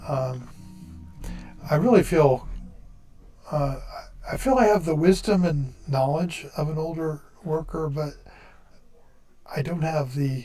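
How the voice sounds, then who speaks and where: At a very slow pace with long, frequent pauses, a man with a fairly high pitch speaks in a somewhat breathy, dark, mellow tone with ordinary pitch variation. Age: 60s. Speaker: engineer. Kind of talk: casual chat. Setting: live stream.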